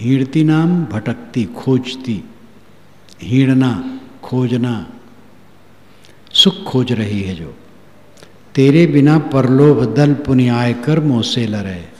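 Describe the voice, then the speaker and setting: A medium-pitched man speaks with ordinary pitch variation and long, frequent pauses. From rural North India. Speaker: spiritual preacher. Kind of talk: religious discourse.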